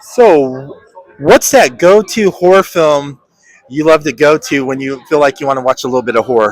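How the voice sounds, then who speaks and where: This is a man with a plain, everyday voice at a fairly high pitch. He talks at a moderate pace with ordinary pitch variation. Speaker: podcast host. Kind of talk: interview questions. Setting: convention floor.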